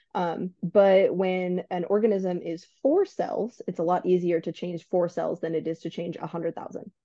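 With a dark, mellow tone at a medium pitch, a woman speaks at a moderate pace with fairly even intonation and hardly any pauses, in a dry, close sound with no echo. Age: 20s. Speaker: author and podcast host with biology degree. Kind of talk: casual interview.

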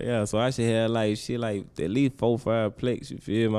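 A man speaks in a dark, mellow tone. His pace is moderate. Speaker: rapper. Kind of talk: casual interview chat.

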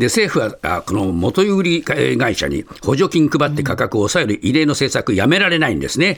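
With vocal fry and very wide pitch swings, a man talks at a moderate pace in a fairly high voice. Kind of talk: newsreading. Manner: conversational, chatty newspaper digest with casual asides; fluent, explanatory, frequent fillers.

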